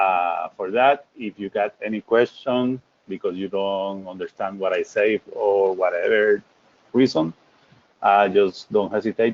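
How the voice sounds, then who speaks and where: With a Puerto Rican accent, a man talks at a very slow pace. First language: Spanish. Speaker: technical presenter. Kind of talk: webinar presentation.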